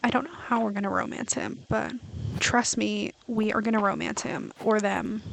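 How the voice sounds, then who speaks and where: A soft-spoken woman over noticeable background noise. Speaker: gaming streamer. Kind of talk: casual gameplay commentary. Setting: home, streaming at night.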